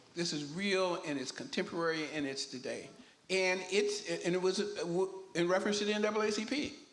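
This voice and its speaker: A man talks at a fairly quick pace in a high voice with ordinary pitch variation. Audible room echo surrounds him. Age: 80s+. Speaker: town hall panelist. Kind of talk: panel discussion. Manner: halting, repeats words.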